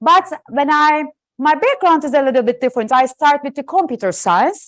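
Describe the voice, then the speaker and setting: A woman with a Turkish accent speaks at a high pitch with lively intonation, the sound dry and close with no echo against a quiet background. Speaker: professor. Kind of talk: lecture. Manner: loud.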